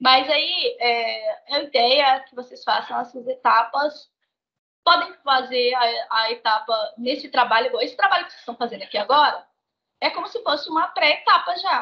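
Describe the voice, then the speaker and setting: Her voice high in pitch, a woman speaks with big swings in loudness. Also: moderate pace. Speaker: education consultant presenting a training session. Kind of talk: online training presentation.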